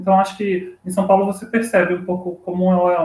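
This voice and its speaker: A man's high voice at a moderate pace. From Cachoeiras de Macacu, Rio de Janeiro state. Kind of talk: casual chat.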